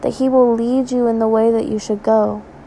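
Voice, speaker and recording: A fairly high-pitched woman at a moderate pace, monotone and flat, over noticeable background noise. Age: 20s. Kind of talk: devotional talk. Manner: halting, with fillers.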